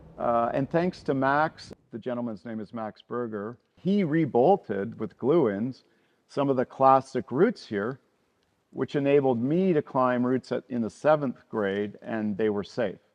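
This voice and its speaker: Speaking in an ordinary speaking voice with a Canadian accent, a man talks at a fairly slow pace, at medium pitch with ordinary pitch variation. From western Canada (Vancouver). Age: 60s. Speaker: climber and route bolter. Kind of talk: documentary interview.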